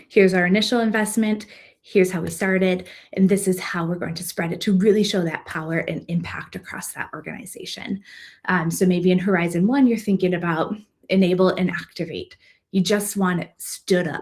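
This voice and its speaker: Somewhat breathy, a woman speaks at a fairly quick pace with fairly even intonation. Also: medium pitch for a woman. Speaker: consultant. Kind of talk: presentation. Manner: fast.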